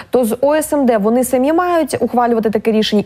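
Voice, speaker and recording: A woman talks at a very fast pace. Her voice is fairly high, with lively intonation. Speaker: TV news presenter. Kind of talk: news broadcast and interview. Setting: studio. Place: studio. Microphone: lapel.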